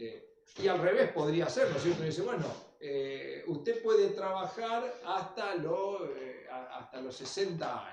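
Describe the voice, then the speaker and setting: This man speaks with a Rosario accent. Room echo is audible. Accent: Argentine Spanish (Rosario area). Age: 60s. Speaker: lecturer. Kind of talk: lecture.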